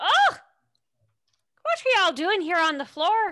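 A put-on character voice with a Southern accent, female-sounding and extremely high-pitched, at a moderate pace. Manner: kindly.

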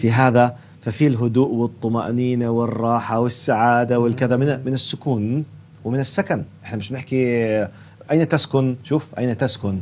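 Over light background noise, a man with a plain, everyday voice speaks at a fairly slow pace, medium pitch and fairly even intonation. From Jordan. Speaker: religious youth-show host, preacher. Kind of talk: religious youth discussion. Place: studio. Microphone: lapel.

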